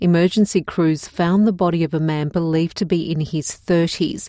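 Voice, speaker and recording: Speaking in an Australian accent, a woman has a dark, mellow tone. She keeps a moderate pace in a very clean recording with a silent background. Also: dry, close sound with no echo. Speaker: news presenter. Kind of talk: formal newsreading. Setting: studio. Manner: formal; measured, even-paced and neutral, clearly enunciated for learners.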